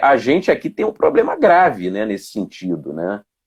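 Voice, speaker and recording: In a very clean recording with a silent background, a man's voice shows very wide pitch swings and vocal fry. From Mato Grosso do Sul, Brazil (raised largely in Rio de Janeiro). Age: 40s. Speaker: police officer and political candidate. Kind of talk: interview. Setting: Instagram live video. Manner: halting, many fillers.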